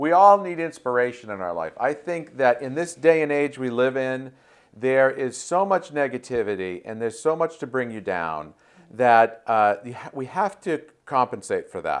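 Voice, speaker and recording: A man with a medium pitch speaks at a moderate pace, his pitch swinging very widely. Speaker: talk show host. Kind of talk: interview host talk.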